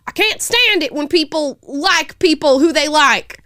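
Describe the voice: A woman puts on a character voice in a Southern US accent. It sits high in pitch at a moderate pace.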